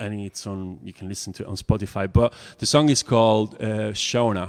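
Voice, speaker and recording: A man with an Italian accent, fairly low in pitch, with fairly even intonation, a fairly quick pace and big swings in loudness. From Italy. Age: 40s. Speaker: songwriter. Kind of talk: casual chat. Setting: live stream. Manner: halting.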